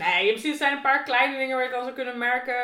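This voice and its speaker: Audible echo fills the room. In it, a woman talks at a fairly quick pace. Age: 30s. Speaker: guest from the BDSM scene. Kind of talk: casual interview.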